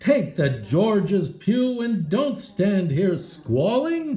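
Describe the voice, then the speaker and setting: A woman does a rumbling, put-on character voice at a medium pitch and a very slow pace, with audible echo. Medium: read story. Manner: grumbling.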